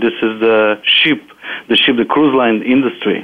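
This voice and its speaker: A man with a Bulgarian accent and a medium pitch. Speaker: property manager and author. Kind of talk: interview.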